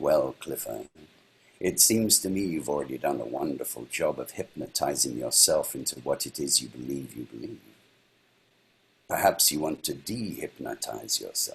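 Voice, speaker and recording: A man puts on a gravelly character voice at a very deep, low pitch and a moderate pace. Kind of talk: calm, wise.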